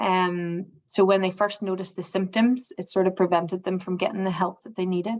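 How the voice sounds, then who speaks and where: A woman's medium-pitched, monotone voice at a fairly quick pace with hardly any pauses, over music in the background. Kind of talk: presentation. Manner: hesitant.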